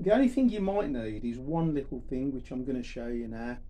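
The voice belongs to a man. It has a dark, mellow tone. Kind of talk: tutorial. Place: garage. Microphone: camera far.

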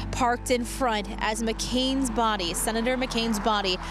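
A woman's voice in dry sound with no echo, music in the background. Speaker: TV news reporter. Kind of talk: live news report. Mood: somber, measured. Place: street. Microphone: handheld.

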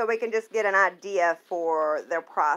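A woman's voice, neither fast nor slow. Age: 30s. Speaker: beauty vlogger. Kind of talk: casual vlog with screen walkthrough. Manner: animated. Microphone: phone near.

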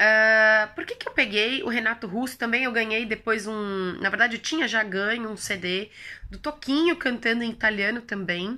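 Bright and sharp in tone, a woman speaks at a fairly high pitch and a moderate pace with ordinary pitch variation, on a very clean recording with a silent background. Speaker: language-learning youtuber. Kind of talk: casual vlog tutorial.

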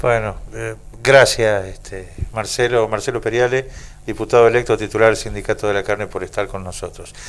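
A man at a fairly quick pace, with big swings in loudness. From Argentina. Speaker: radio host. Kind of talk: radio interview. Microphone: handheld.

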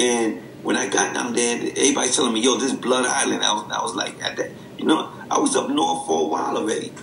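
A man's voice comes through with audible room echo and a light hiss of background noise. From the Bronx, New York. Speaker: podcast co-host, former inmate. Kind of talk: casual chat. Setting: remote recording. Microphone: video call.

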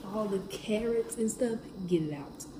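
Behind a woman's speech there is noticeable background noise. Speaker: vlogger. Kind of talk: casual vlog chat.

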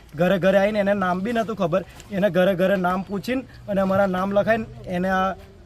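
The intonation is monotone and flat, with noticeable background noise behind the voice. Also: man. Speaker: displaced local resident. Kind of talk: news interview testimony.

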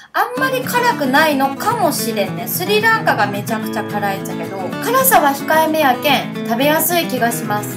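With clear music in the background, a woman speaks at a moderate pace in a Fukuoka accent. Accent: Hakata dialect. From Hakata, Fukuoka. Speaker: food vlogger. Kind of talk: casual food review vlog. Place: cafe. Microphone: phone near.

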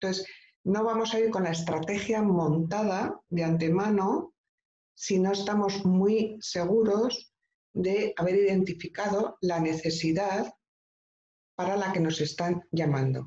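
Through light background noise and audible room echo comes a woman's somewhat breathy voice, dark and mellow, with ordinary pitch variation. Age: 50s. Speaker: professional coach, former nurse; professional coach. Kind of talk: online training talk. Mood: warm, explanatory. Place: home room. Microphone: video call.

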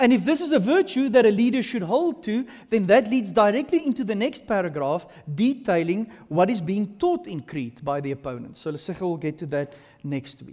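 A man's high-pitched voice with very wide pitch swings and big swings in loudness, over a quiet background. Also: fairly quick pace. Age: 30s. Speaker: pastor. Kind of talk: sermon. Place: hall. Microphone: headset.

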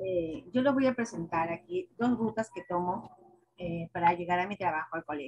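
With lively intonation and a fairly low pitch, a woman talks at a moderate pace in a normal speaking voice against a quiet background. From Peru. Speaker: schoolteacher; teacher in training session. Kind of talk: presentation. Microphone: video call.

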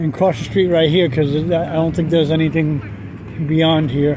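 Crowd noise fills the background as a man talks. The sound is dry, with no echo. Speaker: walking tour narrator. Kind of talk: casual vlog chat. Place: street. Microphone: phone near.

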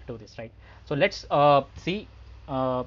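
His intonation stays fairly even while this man talks at a moderate tempo. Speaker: software testing instructor. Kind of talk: tutorial. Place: home room. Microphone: headset.

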